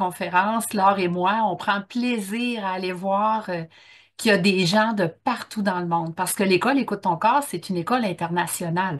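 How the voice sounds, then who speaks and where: The background is quiet as a woman speaks at a fairly slow pace. Her pitch is medium, with ordinary pitch variation. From Quebec, Bas-Saint-Laurent. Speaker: workshop trainer. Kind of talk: online conference talk. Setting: Zoom video call. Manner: casual, with many fillers.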